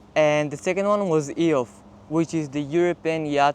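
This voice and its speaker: A man with an Israeli accent is speaking. His pitch is fairly high, and his pace is moderate. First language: Hebrew. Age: 20s. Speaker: college athlete and vlogger. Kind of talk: casual vlog monologue.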